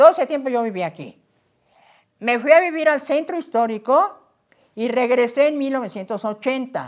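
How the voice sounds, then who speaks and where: Against a quiet background, a woman with a high pitch speaks at a moderate pace. Her intonation is lively, and she takes long, frequent pauses. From Mexico City (Azcapotzalco). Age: 80s+. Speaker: local historian. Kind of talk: interview conversation.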